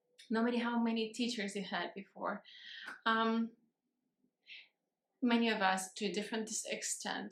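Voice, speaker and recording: A woman with a non-native accent talks at a moderate pace in a fairly high pitch, with long, frequent pauses. Her intonation is monotone and flat. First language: not English. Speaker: vlogger. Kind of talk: casual vlog talk. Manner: halting, many fillers and restarts.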